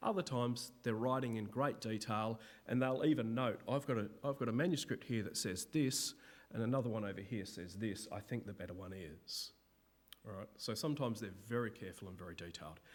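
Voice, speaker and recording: An unremarkable speaking voice, a man's, moves at a fairly quick pace with big swings in loudness and ordinary pitch variation, recorded very cleanly against a silent background. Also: medium pitch for a man. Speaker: Bible lecturer. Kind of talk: lecture. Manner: casual.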